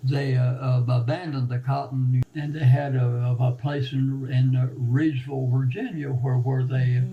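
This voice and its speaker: In an American accent, a man of medium pitch talks at a fairly slow pace with monotone, flat intonation. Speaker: former net maker and repairer. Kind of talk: oral history interview answer. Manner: halting, repetitive.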